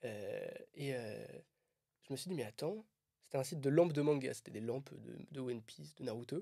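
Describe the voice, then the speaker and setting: A man talks at a moderate pace, leaving long, frequent pauses. His loudness swings widely. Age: 20s. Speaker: content creator. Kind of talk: casual chat. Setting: on a walking trip. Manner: casual, filler-heavy.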